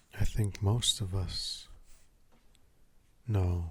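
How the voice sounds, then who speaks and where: A man talks at a very slow pace. His tone is calm and soothing. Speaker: artist and mindfulness talker. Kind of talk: mindfulness talk, ASMR. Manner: slow, calm, soothing.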